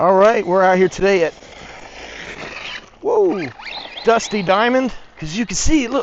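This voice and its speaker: A man with a high voice talks fairly slowly with lively intonation. There is noticeable background noise. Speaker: RC car reviewer. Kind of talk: casual vlog. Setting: outdoors. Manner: animated.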